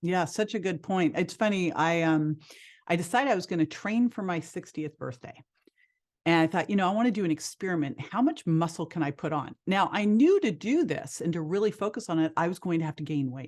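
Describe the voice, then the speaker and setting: A normal speaking voice at a fairly quick pace, with ordinary pitch variation, over a quiet background. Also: woman, fairly low pitch for a woman. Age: 50s. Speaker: health and fitness expert. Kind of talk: interview conversation.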